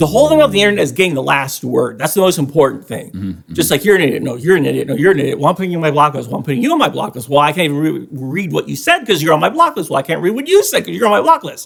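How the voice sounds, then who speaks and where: Over noticeable background noise, a man talks very fast with hardly any pauses. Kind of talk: casual podcast banter.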